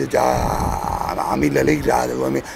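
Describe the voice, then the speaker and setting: There is noticeable background noise in the recording. Through it, a man speaks at a fairly slow pace. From Campania. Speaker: local resident; interviewee, former film actor. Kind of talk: street interview. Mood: animated, reminiscing. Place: street.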